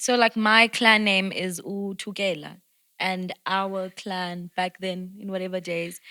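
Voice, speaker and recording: In a very clean recording with a silent background and a dry, close sound with no echo, a woman at medium pitch talks very slowly with a bright, sharp tone and monotone, flat intonation. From South Africa, Durban (Sydenham). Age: 20s. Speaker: actress. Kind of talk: casual chat.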